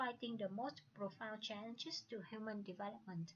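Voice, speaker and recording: Speaking at a moderate pace with a Vietnamese accent, a woman uses a fairly high pitch and ordinary pitch variation. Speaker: student. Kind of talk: presentation. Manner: halting.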